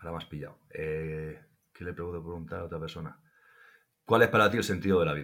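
A man talks at a fairly quick pace in a very deep, low voice. He leaves long pauses often. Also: ordinary pitch variation. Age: 40s. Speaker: survival instructor. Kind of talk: interview.

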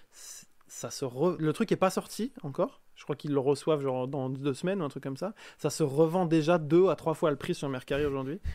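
This man's dark, mellow voice sits fairly high in pitch, heard on a very clean recording with a silent background. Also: ordinary pitch variation, fairly quick pace. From France. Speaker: game designer. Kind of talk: casual chat.

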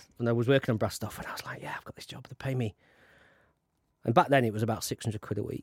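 With a South Yorkshire accent, a man talks very fast at medium pitch with fairly even intonation, recorded dry and close with no echo. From South Yorkshire (Conisbrough, mining town). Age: 50s. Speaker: film producer. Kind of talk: interview. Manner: halting, many restarts.

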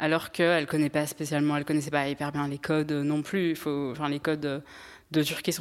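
Very deep and low for a woman, her voice runs at a very fast pace in a flat monotone. The recording is very clean, with a silent background. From France, Strasbourg. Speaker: podcast guest. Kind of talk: testimony.

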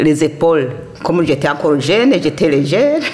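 There is noticeable background noise. Through it, a woman speaks in a very deep, low pitch. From Burundi, Kayanza province. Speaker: immigrant elder. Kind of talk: testimony.

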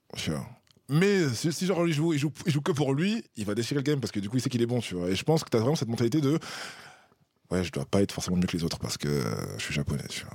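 With a medium pitch, a man talks very fast, swinging his pitch very widely and leaving long, frequent pauses. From France. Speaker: polyglot guest. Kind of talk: casual chat.

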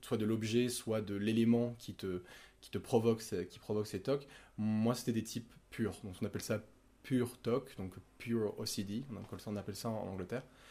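A man's fairly low-pitched voice, dark and mellow in tone, at a moderate pace, with fairly even intonation and big swings in loudness. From Monaco, southern France. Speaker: podcast guest sharing OCD experience. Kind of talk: personal testimony in casual conversation.

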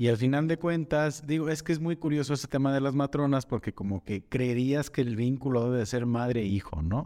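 Speaking at a fairly quick pace with hardly any pauses, a man with a medium-pitched, dark, mellow voice keeps very even loudness and ordinary pitch variation. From Jalisco, Mexico. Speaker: podcast host. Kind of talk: casual interview chat. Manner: informal, relaxed.

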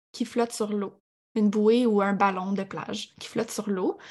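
Somewhat breathy speech at a fairly slow pace, with fairly even intonation. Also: woman. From Quebec, Abitibi. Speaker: sports nutritionist. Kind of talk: podcast interview.

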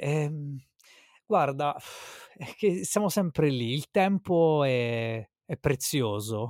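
Long, frequent pauses in a very clean recording with a silent background. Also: man, fairly high pitch for a man. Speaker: podcaster. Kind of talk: casual chat between friends.

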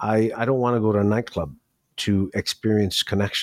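A man with an American accent and a normal speaking voice, fairly low in pitch, in a dry, close sound with no echo. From New York City. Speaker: professional dominant and event host. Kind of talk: interview answers.

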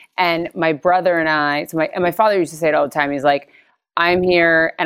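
On a very clean recording with a silent background, a woman with an American accent and very deep, low pitch speaks with fairly even intonation. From Connecticut, US East Coast. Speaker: beauty business founder. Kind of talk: interview.

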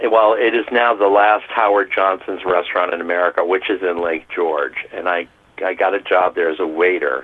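Noticeable background noise sits behind the speaker. A man with a very deep, low pitch talks at a moderate pace with lively intonation. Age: 50s. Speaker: restaurant worker. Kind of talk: interview.

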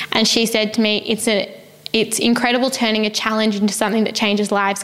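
A woman with an Australian accent speaks at a moderate pace in a fairly high pitch, her intonation fairly even, with noticeable background noise behind her. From Australia, Melbourne. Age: 20s. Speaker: non-profit founder. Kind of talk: interview. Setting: in person.

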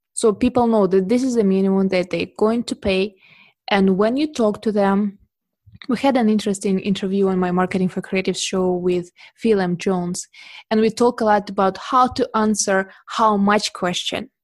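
Fairly even intonation at a moderate pace, with a Russian accent. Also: woman, medium pitch for a woman. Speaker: portrait photographer. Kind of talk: interview.

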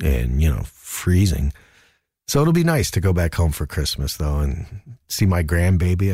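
A man with an American accent speaks at a moderate pace in a dark, mellow, somewhat breathy tone. The recording is very clean with a silent background. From New Jersey, US. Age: 50s. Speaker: comedian. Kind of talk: casual chat. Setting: studio. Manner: animated.

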